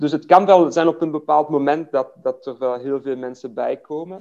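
A man with a French accent and a dark, mellow tone speaks at a moderate pace with ordinary pitch variation. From Belgium, Liège (French-speaking Wallonia). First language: French (speaking Dutch). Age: 40s. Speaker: fitness business owner. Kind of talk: interview. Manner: hesitant, many fillers and repetitions.

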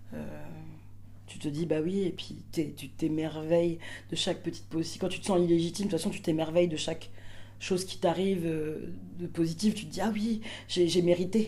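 With vocal fry and a dark, mellow tone, a woman with a fairly low pitch speaks at a fairly slow pace and with ordinary pitch variation, with audible room echo around her. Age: 30s. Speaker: performer and stage director. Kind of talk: casual interview. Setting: theatre dressing room.

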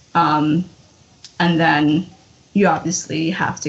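Over noticeable background noise, a woman with an American accent speaks at a fairly slow pace and a fairly low pitch in monotone, flat intonation. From Mexico, Hidalgo; raised in US from age six. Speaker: DACA recipient, podcast guest. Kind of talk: casual chat.

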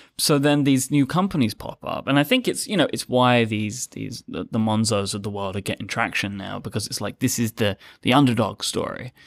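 A man speaks in a normal speaking voice at a medium pitch, fairly quick, with hardly any pauses and ordinary pitch variation. The recording is very clean with a silent background, the sound dry and close with no echo. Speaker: podcast network co-founder. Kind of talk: casual panel chat.

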